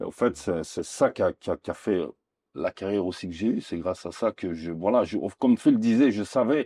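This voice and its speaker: In a dry, close sound with no echo and a quiet background, a man with a dark, mellow tone and fairly low pitch talks at a moderate pace with ordinary pitch variation. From Belgium, Liège area. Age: 40s. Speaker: retired goalkeeper. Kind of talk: interview. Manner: halting, with repetitions.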